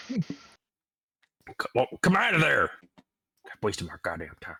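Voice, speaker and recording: A man puts on a raspy character voice. He talks at a moderate pace. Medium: actual play. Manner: casual, profane, pushy.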